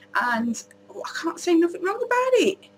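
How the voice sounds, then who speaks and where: This woman has an English accent. Her pace is fairly quick. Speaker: beauty vlogger. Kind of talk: casual product review vlog. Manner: loud.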